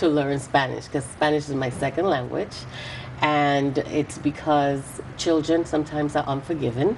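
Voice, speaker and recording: Noticeable background noise sits behind this recording. A woman speaks in a very deep, low voice. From US Virgin Islands (St. Thomas) and Puerto Rico. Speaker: politician. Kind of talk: interview.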